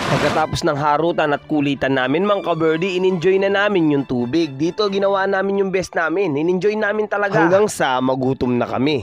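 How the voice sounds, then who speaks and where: A man with a high voice speaks at a fairly quick pace, with hardly any pauses and ordinary pitch variation. His loudness stays very even while music plays in the background. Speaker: vlogger. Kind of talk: casual travel vlog narration. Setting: outdoors by a river.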